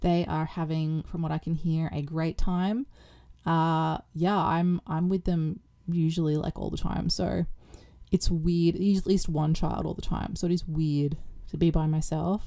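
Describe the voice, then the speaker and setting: At a moderate pace, a woman with a fairly low pitch and a dark, mellow tone speaks with fairly even intonation. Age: 40s. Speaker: cleaning vlogger and mother. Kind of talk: casual chat. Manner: chatty, rambling with fillers.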